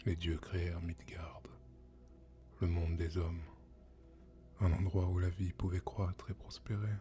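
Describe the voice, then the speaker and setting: The speech moves at a very slow pace over music in the background. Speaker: ASMR storyteller. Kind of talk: ASMR storytelling, mythology narration. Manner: soft-spoken, calm.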